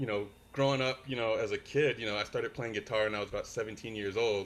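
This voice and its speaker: The recording is very clean with a silent background. A man speaks at a very fast pace with an American accent. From California, San Francisco Bay Area. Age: 40s. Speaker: worship musician. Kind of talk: casual interview chat. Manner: halting with many fillers.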